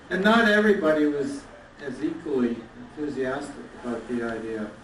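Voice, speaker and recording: Over noticeable background noise and audible room echo, a man talks at a fairly quick pace in a fairly high pitch, with very wide pitch swings. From Canada, Toronto. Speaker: toastmasters leader. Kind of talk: anniversary speech.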